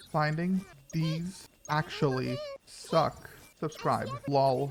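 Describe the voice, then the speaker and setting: Amid noticeable background noise, a man with a fairly high pitch speaks at a very slow pace with fairly even intonation. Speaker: gaming YouTuber. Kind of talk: casual gameplay commentary. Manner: casual, with fillers.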